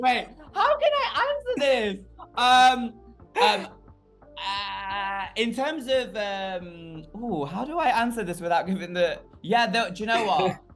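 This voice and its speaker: Music plays behind a man speaking at a very slow pace. His high pitch moves with lively intonation. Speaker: drag queen. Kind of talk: interview. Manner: loud; animated.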